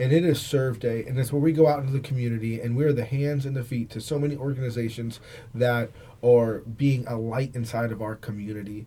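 Fairly quick and somewhat breathy, a man speaks at a medium pitch with a dark, mellow tone and fairly even intonation. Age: 40s. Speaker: pastor and co-host. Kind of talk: preaching with fervent moral conviction. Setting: studio. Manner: forceful, passionate, declarative.

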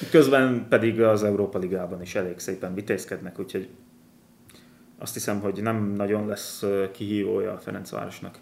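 In a normal speaking voice, a man talks at a fairly low pitch with fairly even intonation. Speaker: football podcast host. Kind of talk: casual chat.

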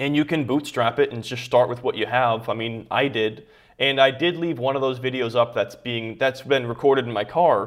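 A normal speaking voice from a man, medium in pitch, with fairly even intonation, a moderate pace and hardly any pauses. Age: 20s. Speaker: YouTuber and online entrepreneur. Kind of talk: interview.

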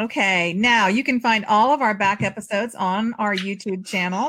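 A plain, everyday voice, its pitch varying in an ordinary way. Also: woman. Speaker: podcast host and novelist. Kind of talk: casual chat.

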